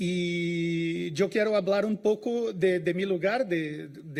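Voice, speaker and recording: This man's voice has a high pitch. He speaks with a Brazilian accent. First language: Portuguese (speaking Spanish). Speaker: information science researcher. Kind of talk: conference talk. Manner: halting, many fillers.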